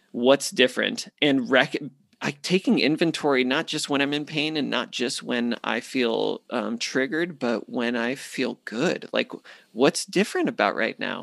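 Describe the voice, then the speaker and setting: With an American accent and vocal fry, a man speaks at a fairly slow pace with ordinary pitch variation, on a very clean recording with a silent background and a dry, close sound with no echo. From US Southwest (Phoenix, Arizona). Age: 30s. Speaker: men's ministry leader. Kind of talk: interview.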